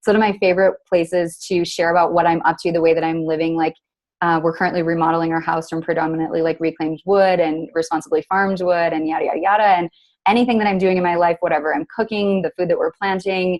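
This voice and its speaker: Speaking at a very fast pace, a woman talks with a fairly low pitch. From United States. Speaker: entrepreneur and sustainability advocate. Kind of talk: casual interview. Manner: animated.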